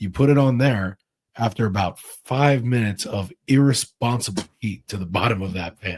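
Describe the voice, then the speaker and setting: This man speaks at a moderate pace with a medium pitch. His pitch varies in an ordinary way. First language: Russian. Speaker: chef. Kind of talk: casual chat.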